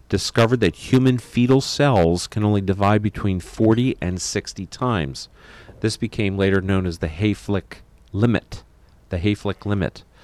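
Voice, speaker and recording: This man has an unremarkable speaking voice, fairly low in pitch, with an American accent and ordinary pitch variation. He talks at a moderate pace, and the sound is dry and close with no echo. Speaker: radio host and physician. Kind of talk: radio talk show discussion.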